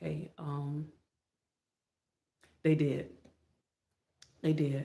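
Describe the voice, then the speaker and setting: With a Southern US accent, a woman speaks in a very deep, low pitch, her tone dark, mellow and somewhat breathy. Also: ordinary pitch variation. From Florida. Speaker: motivational YouTuber. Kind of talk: motivational livestream talk. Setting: live stream. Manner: less energetic than usual.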